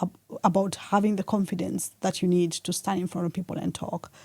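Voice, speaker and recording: Somewhat breathy, a woman is heard in a very clean recording with a silent background and a dry, close sound with no echo. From Kenya. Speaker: author and public speaker. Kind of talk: podcast interview.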